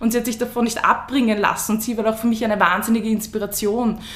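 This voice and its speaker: Noticeable background noise and audible room echo fill the recording. Through them, a woman speaks at a fairly high pitch. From Lower Austria, Gumpoldskirchen. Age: 20s. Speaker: female empowerment coach and breathing trainer. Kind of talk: interview.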